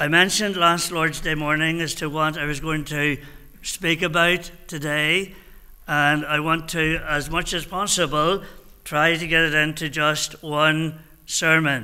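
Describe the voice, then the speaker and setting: This man talks at a fairly slow pace in a monotone, flat delivery with a bright, sharp tone over a quiet background. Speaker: minister. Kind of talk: sermon. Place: church. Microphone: podium.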